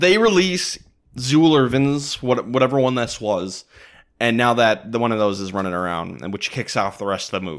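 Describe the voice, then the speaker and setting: This is an unremarkable speaking voice from a man with an American accent. He talks at a moderate pace with lively intonation. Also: medium pitch for a man, very clean recording, silent background. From Minneapolis suburbs, Minnesota. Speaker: podcast host. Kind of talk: casual chat.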